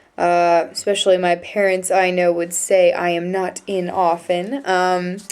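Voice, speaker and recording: The speaker has an American accent. The tone is dark and mellow. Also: woman. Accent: American accent noticed by locals. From United States. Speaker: vlogger, exchange student. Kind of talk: casual vlog monologue. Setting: dorm room. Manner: hesitant, many fillers.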